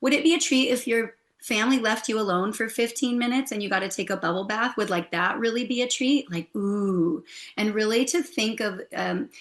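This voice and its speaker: An unremarkable speaking voice in an American accent, moving at a fairly quick pace. Its pitch variation is ordinary. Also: woman, fairly high pitch for a woman. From United States. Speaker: hypnotherapist and holistic health coach. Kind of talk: interview.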